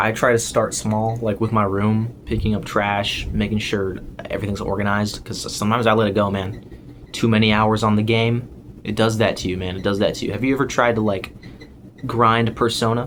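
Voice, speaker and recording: Fairly low in pitch, a man speaks at a moderate pace with fairly even intonation, amid noticeable background noise and audible room echo. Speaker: YouTuber. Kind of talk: casual vlog rant. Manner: halting.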